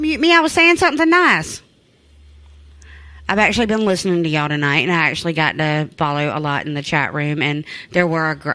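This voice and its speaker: A woman's bright, sharp tone, fairly quick, with ordinary pitch variation. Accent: Southern US. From US South. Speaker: co-host's partner joining in. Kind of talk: casual chat.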